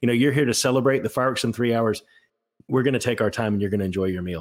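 Speech at a very fast pace with fairly even intonation comes through on a very clean recording with a silent background. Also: man. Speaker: podcast co-host. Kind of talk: casual chat.

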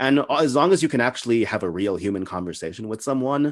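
The intonation is lively. The speaker has an American accent. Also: man. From El Paso, far west Texas. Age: 20s. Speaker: podcast interviewer. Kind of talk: casual interview chat. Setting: video call.

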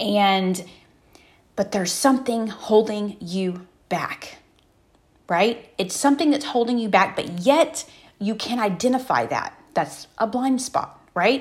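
At a very slow pace, a woman with an American accent speaks in a somewhat breathy voice at a fairly high pitch. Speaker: motivational podcast host. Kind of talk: motivational monologue. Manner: conversational, many fillers.

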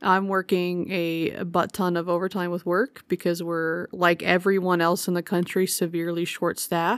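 With hardly any pauses, a woman speaks at a moderate pace in a fairly low pitch and a monotone, flat intonation. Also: dry, close sound with no echo. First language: sign language. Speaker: podcast co-host. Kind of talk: casual chat.

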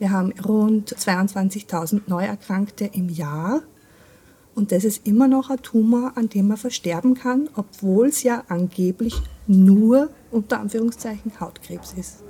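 Speaking at a very slow pace, a woman has an Austrian accent and a medium pitch with ordinary variation. Her tone is dark, mellow and somewhat breathy. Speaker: patient advocate, skin cancer survivor. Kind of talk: interview.

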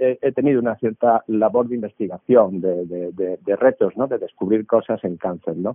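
A man's medium-pitched voice shows ordinary pitch variation, with music playing behind it. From Seville, Andalusia, Spain. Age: 50s. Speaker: doctor and biotech entrepreneur. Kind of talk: interview. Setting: video call. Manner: halting, many hesitations.

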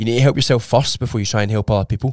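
A man with a medium-pitched voice keeps his intonation fairly even. The recording is very clean, with a silent background and a dry, close sound with no echo. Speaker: personal trainer. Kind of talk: casual chat.

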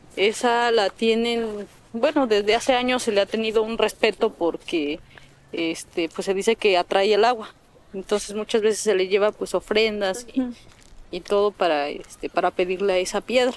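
Recorded with a dry, close sound and no echo, a woman talks at a moderate pace in a fairly high pitch with ordinary pitch variation. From Mixteca Alta, Oaxaca, Mexico. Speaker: biologist and kindergarten teacher. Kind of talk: interview. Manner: halting.

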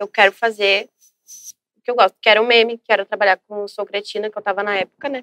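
With a southern Brazilian accent, a woman speaks fairly quickly at medium pitch with fairly even intonation. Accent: southern Brazilian (gaúcho) Portuguese. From Brazil, Rio Grande do Sul (São Leopoldo). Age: 20s. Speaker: social media influencer. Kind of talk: casual interview. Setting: studio.

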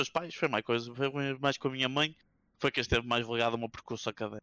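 A man talks very fast at a medium pitch with a bright, sharp tone and lively intonation, in a very clean recording with a silent background and a dry, close sound with no echo. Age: 20s. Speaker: esports journalist. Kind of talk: casual chat. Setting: Twitch live stream.

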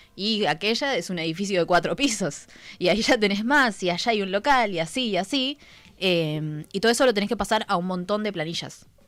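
Lively intonation marks a woman speaking at medium pitch. Her pace is moderate, and music plays in the background. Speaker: radio co-host. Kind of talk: casual chat.

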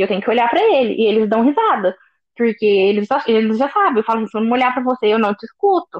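At a very fast pace, a woman speaks in a fairly high pitch with ordinary pitch variation. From Brazil, interior of Minas Gerais. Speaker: finance manager, expat. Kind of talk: casual interview chat.

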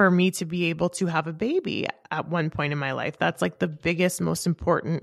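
A woman's fairly low voice with vocal fry and ordinary pitch variation, dry and close with no echo, on a very clean recording with a silent background. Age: 30s. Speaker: bodybuilder and podcast co-host. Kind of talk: casual chat.

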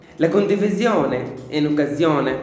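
Lively intonation carries a fairly slow delivery, with audible room echo and noticeable background noise. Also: man. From Syria. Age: 20s. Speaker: student radio host. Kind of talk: scripted introduction and interview.

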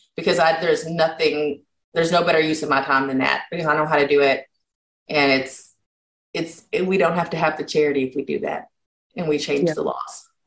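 A woman speaks in a Kentucky Appalachian accent with a very deep, low pitch. She talks at a fairly quick pace with fairly even intonation. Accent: Kentucky Appalachian American. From Eastern Kentucky. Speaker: health policy advocate. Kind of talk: podcast interview.

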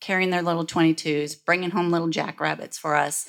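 Monotone, flat intonation comes through in an American accent on a very clean recording with a silent background. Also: woman. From Michigan. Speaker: rancher. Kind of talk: panel discussion. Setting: stage with audience.

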